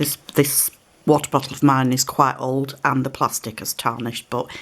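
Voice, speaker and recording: In a British accent, a woman speaks at a moderate pace with a very deep, low pitch. Her intonation is monotone and flat over noticeable background noise. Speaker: card-making crafter. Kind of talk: craft tutorial. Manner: relaxed, slightly halting.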